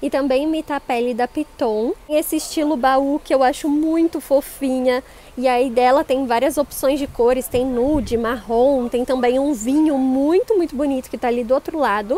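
Moving at a moderate pace with hardly any pauses, a woman talks at a high pitch with ordinary pitch variation, the sound dry with no echo. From Brazil. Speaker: shopping vlogger and bag reviewer. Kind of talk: street seller pitch, upbeat promotional patter showing bags and prices. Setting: in a shopping mall store, filming a vlog. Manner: animated, bubbly. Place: shop. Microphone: phone near.

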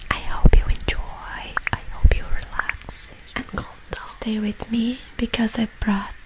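Whispering at a very slow pace, a woman speaks. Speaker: ASMR creator. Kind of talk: ASMR Bible reading and prayer. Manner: whispered, soft-spoken. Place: home room. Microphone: studio mic.

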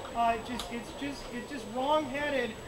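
A man is shouting in an angry tone at a moderate pace. Noticeable background noise sits behind him. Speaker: rally speaker. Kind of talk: rally speech. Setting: outdoor rally with a crowd. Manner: impassioned, rising to angry shouts on key points; halting, with frequent filler words and repeated phrases. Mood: indignant, earnest. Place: street. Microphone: camera far.

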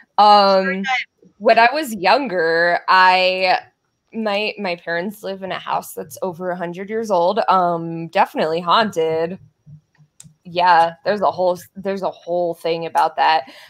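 A woman with an American accent speaks in a plain, everyday voice at a fairly slow pace, her medium pitch moving with ordinary variation. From Colorado. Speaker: streamer and craft-along host; streamer, craft-along host. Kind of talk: casual chat. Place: home room. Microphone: video call.

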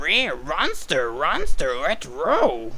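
Clear background noise behind a put-on character voice. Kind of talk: character impression. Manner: comedic, playful.

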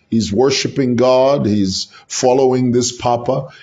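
A man speaks at medium pitch with ordinary pitch variation. His voice is somewhat breathy and his pace fairly slow. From Zambia. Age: 50s. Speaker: political commentator, YouTuber; political commentator. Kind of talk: solo vlog commentary. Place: home room.

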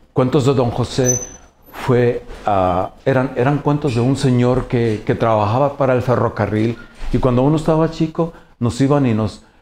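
Over light background noise, a man speaks with a dark, mellow tone. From Mexico, Jalisco. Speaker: painter. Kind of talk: interview monologue. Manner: halting, many fillers and repetitions. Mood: warm, reflective storytelling. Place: office.

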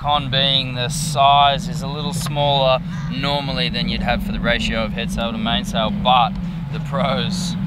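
Loud background noise sits behind a man whose voice sounds dry with no echo. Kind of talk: tutorial. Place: boat. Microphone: phone near.

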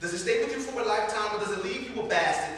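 In a room with strong echo, a man with an American accent talks fairly quickly at a high pitch. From Columbus, Ohio. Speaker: spoken word poet. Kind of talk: live spoken word poetry performance. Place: bar. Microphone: camera far.

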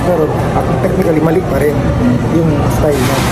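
A man at a very fast pace, with crowd noise in the background. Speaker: vlogger. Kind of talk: casual vlog chat. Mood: opinionated, explaining. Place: cafe. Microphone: phone near.

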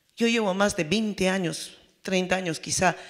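A woman is speaking. The background is quiet. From Peru, Apurímac; Peru. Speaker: peasant federation representative; panelist. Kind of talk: panel talk. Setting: forum with audience. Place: hall. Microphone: handheld.

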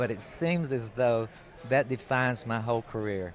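A man with a Southern US accent speaks at a medium pitch with ordinary pitch variation, the sound dry with no echo and light background noise behind him. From North Carolina. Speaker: record producer; interview guest. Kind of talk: casual interview. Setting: outdoors at a film festival. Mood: relaxed, reminiscing. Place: tent. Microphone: handheld.

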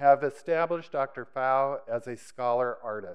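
In a quiet background, a man talks at a fairly slow pace with fairly even intonation. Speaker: event host introducing speaker. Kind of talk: formal introduction speech. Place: hall. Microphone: podium.

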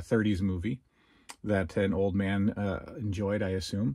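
A man speaks at a fairly slow pace. His tone is slightly mellow.

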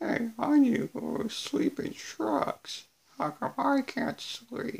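In a put-on character voice, a man speaks at an extremely high pitch. His intonation is lively. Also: fairly slow pace.

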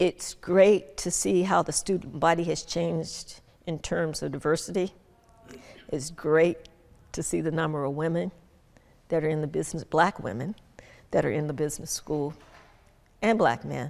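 In an American accent, a woman with a very deep, low pitch and vocal fry speaks at a moderate pace, her pitch varying in an ordinary way, with long, frequent pauses. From Birmingham, Alabama. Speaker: retired business executive. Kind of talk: interview. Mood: warm, reflective. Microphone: lapel.

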